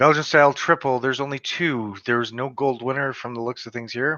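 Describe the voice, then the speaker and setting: Speaking at a moderate pace, a man talks with a Western Canadian accent. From western Canada. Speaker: beer reviewer. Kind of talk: casual live stream review.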